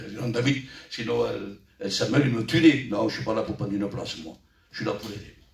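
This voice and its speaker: Against noticeable background noise and audible room echo, a man with a medium pitch speaks at a fairly quick pace, his pitch varying in an ordinary way and his loudness swinging widely. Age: 60s. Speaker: church elder preacher. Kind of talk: sermon.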